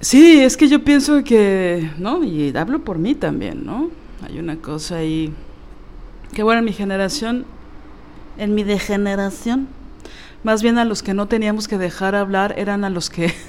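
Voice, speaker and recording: A woman speaks at a medium pitch and a fairly slow pace, with long, frequent pauses. Her pitch swings very widely. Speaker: podcast co-host. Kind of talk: casual chat.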